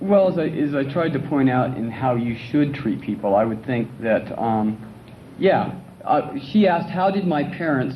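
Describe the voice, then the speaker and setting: Medium-pitched male voice at an unhurried, moderate tempo, room echo clearly present. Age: 30s. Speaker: patient speaker. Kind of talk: talk to an audience. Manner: halting.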